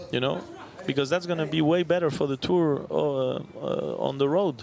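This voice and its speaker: Noticeable background noise surrounds a man speaking at a moderate pace. His fairly high pitch stays in fairly even intonation. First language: not English. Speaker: padel tour executive. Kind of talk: casual chat. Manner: halting.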